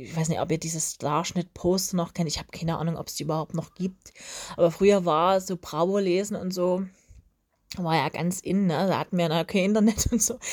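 A woman with an ordinary speaking voice talks at a fairly quick pace and a fairly low pitch, her intonation fairly even, on a very clean recording with a silent background. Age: 30s. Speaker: podcast host. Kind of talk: casual monologue.

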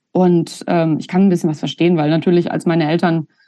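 A woman's fairly low voice at a fairly quick pace, a plain, everyday voice. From Germany, Hesse (near Giessen). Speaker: punk musician and sociologist. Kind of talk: casual interview conversation.

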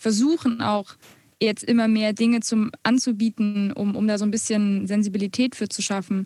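A woman speaks in a monotone, flat intonation with a dark, mellow tone and fairly high pitch. Her somewhat breathy voice sounds dry and close, with no echo. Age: 20s. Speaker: music student and blogger, podcast co-host. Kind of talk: casual podcast conversation.

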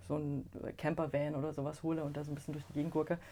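A woman's very deep, low voice, dark and mellow in tone, moves at a very fast pace. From Chemnitz, Saxony (eastern Germany). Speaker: book designer and co-editor. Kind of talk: interview.

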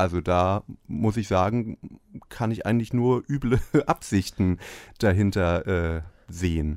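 A fairly low-pitched male voice at a fairly slow pace, with long, frequent pauses and ordinary pitch variation, in a very clean, dry, close recording with a silent background and no echo. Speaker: podcast host. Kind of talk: comedic rant. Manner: irate, mocking.

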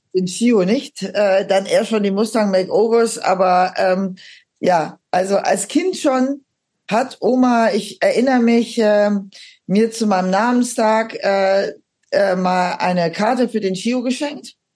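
At a very slow pace, a woman with a fairly high pitch talks with very even loudness and ordinary pitch variation. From Aachen, western Germany. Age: 50s. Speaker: metal singer and psychotherapist. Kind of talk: casual interview chat.

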